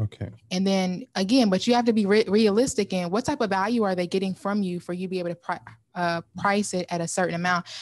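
A woman's medium-pitched voice at a very fast pace, with ordinary pitch variation, over a quiet background. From Kentucky. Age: young. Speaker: virtual assistant business owner; podcast guest. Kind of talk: interview. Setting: studio. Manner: enthusiastic. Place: studio. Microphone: studio mic.

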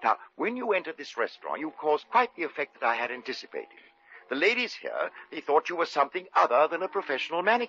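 A man puts on a character voice, fairly high-pitched with a bright, sharp tone, a slightly husky edge, big pitch swings and a fast pace.

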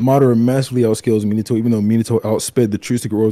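The delivery is very fast, with fairly even intonation. The tone is dark and mellow. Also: man. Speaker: anime debater. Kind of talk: casual debate.

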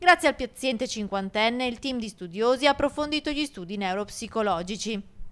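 Speaking at a fairly quick pace with hardly any pauses, a woman has an unremarkable speaking voice, a fairly high pitch and lively intonation. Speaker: TV news reporter. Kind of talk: TV news report narration.

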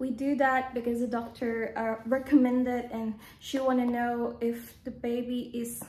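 A woman at a high pitch with a dark, mellow tone, moderate pace and monotone, flat intonation, plus audible room echo. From Philippines. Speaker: vlogger. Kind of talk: casual vlog monologue. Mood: calm, personal storytelling. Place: home room. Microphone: phone near.

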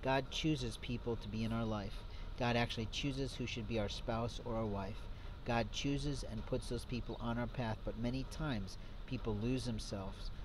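Talking at a fairly quick pace, a man is heard over noticeable background noise. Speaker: self-styled preacher. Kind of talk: sermon. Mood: earnest, moralizing. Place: street. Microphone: phone near.

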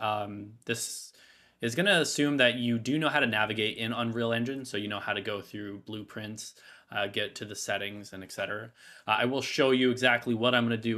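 The voice has a bright, sharp tone and moves at a fairly quick pace with fairly even intonation. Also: man. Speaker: game dev tutorial creator. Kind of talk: tutorial. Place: home room.

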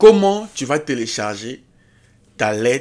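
Fairly slow speech from a man, medium in pitch. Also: very clean recording, silent background. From Africa. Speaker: YouTube career advice creator. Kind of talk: tutorial. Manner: animated.

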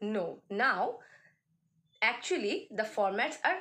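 This woman has a fairly high pitch and a bright, sharp tone. She speaks fairly slowly, with very wide pitch swings. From India, West Bengal. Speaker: college English teacher. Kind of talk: lecture. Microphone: phone near.

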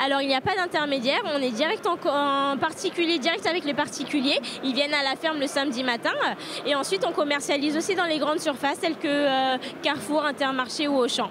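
A woman speaks at a high pitch and a fairly quick pace. The sound is dry with no echo, though noticeable background noise is present. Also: ordinary pitch variation, very even loudness. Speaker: farm product vendor. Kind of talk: interview answer. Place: hall. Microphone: handheld.

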